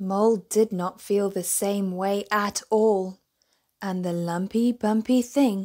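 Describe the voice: This is plain reading aloud with fairly even intonation against a quiet background.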